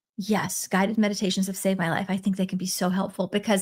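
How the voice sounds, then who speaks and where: A woman talks at a very fast pace. Her voice is somewhat breathy. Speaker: spiritual coach. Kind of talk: live stream teaching. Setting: live stream.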